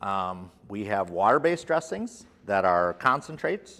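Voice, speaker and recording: The background is quiet as a man talks with a fairly low pitch and ordinary pitch variation. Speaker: product trainer. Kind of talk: lecture. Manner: loud.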